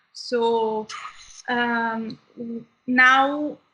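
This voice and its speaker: Her pitch fairly high and her tone bright and sharp, a woman speaks in a flat monotone. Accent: Italian. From southern Italy. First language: Italian. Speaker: medical student. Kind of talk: interview.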